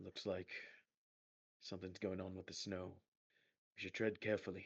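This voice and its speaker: In a put-on character voice, a man speaks very deep and low with a raspy edge. His delivery is monotone and flat at a moderate pace. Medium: actual play. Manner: calm, instructive.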